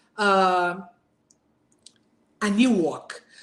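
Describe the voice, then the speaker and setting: A woman with a Portuguese accent. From Brazil. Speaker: burnout speaker, former manager. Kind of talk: talk. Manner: halting.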